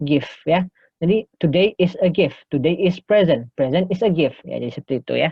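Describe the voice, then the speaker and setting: A man talks at a moderate pace. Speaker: English lecturer. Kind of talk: lecture. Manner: bilingual, frequent fillers.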